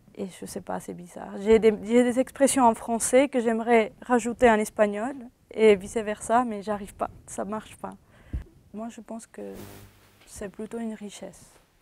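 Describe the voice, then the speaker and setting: A woman with a Spanish accent and a dark, mellow tone, fairly slow and monotone in intonation, with big swings in loudness. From Venezuela. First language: Spanish (speaking French). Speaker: university student. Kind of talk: interview. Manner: halting.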